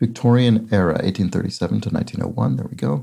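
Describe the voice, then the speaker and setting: Dark and mellow in tone, a man's voice carries vocal fry. He moves at a fairly quick pace with lively intonation. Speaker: crossword solver. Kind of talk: casual commentary while solving a puzzle.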